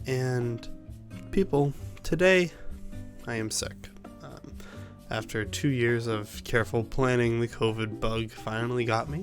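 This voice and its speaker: A soft-spoken, medium-pitched man at a fairly slow pace, with lively intonation, long, frequent pauses, and music in the background. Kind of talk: casual gaming commentary.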